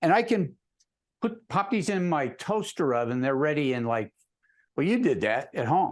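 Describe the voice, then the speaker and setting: A man with an American accent and high pitch, moderate pace, very wide pitch swings and long, frequent pauses against a quiet background. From US, Connecticut (Hamden, near New Haven). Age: 70s. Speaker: amateur pizza baker. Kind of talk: casual interview.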